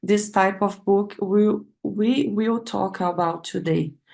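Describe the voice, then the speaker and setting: Very slow speech in a Brazilian Portuguese accent. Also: woman. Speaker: PhD researcher. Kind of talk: academic seminar talk. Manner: halting, with many fillers.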